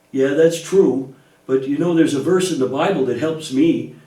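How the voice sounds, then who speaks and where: A cartoonish character voice at a middle pitch and moderate pace, with a slight echo. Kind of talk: children's church puppet show. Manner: worried, anxious.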